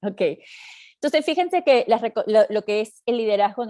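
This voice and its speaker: A woman speaks with a dark, mellow tone. The sound is dry and close, with no echo. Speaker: leadership trainer and coach. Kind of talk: webinar lecture. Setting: online training session. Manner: fast; halting, many fillers and restarts.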